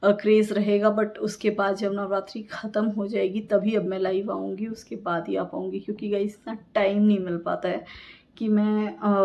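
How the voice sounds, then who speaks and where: The woman's tone comes across dark and mellow. She talks at a medium pitch. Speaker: vlogger. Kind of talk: casual vlog talk. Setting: at home. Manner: effortful speaking; hesitant with fillers.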